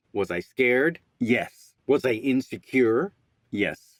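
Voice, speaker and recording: An ordinary speaking voice from a man, medium in pitch, dry and close with no echo. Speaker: voice actor. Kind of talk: casual talk to camera. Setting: home studio.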